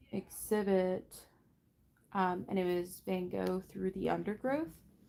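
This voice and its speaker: At a fairly slow pace and in a relaxed tone, a woman speaks with a Midwestern American accent. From Ohio, Cincinnati area. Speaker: livestreamer. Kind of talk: casual chat.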